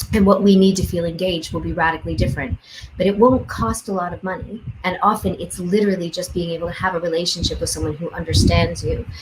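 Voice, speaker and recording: Through noticeable background noise, a woman with a fairly low voice talks at a very fast pace with ordinary pitch variation. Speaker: education researcher. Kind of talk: panel discussion. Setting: video call.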